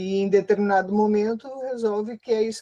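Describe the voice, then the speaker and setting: A woman speaks at a moderate pace with medium pitch and a dark, mellow tone. Her intonation stays fairly even, and the sound is dry and close with no echo. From southern Brazil, Rio Grande do Sul. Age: 60s. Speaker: researcher and activist. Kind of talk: interview. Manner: hesitant, many fillers.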